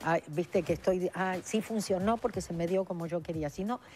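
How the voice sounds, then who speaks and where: Her pace is moderate and her pitch fairly low. This woman has an unremarkable speaking voice. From Argentina. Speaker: author and spiritual speaker. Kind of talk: TV interview.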